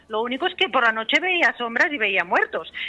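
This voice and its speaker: A high-pitched woman with very wide pitch swings at a fairly quick pace, over noticeable background noise. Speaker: therapist and author. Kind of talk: radio interview. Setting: phone call. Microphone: telephone line.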